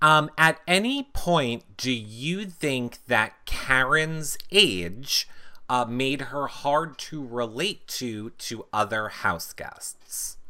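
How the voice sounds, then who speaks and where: Speaking at a very slow pace with an American accent, a man has a bright, sharp tone at medium pitch, with lively intonation and big swings in loudness. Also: hardly any pauses. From United States. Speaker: reality TV podcast host. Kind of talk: casual interview. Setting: live online video stream.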